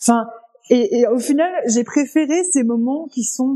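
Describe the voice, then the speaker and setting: A woman speaks at a moderate pace with a high pitch. Her tone is dark and mellow. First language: not French (speaking French). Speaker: podcast co-host. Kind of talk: casual chat.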